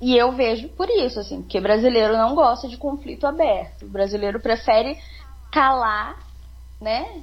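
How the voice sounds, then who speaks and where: At a moderate pace, a woman speaks. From southern Minas Gerais, Brazil. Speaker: podcast guest. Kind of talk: casual chat.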